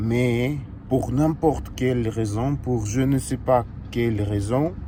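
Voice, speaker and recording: In a Russian accent, a man talks at a very slow pace and a medium pitch with ordinary pitch variation. Noticeable background noise and audible room echo are present. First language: Russian (speaking French). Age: 20s. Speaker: fitness coach and vlogger. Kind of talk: casual vlog monologue. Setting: in a car. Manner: halting, many hesitations.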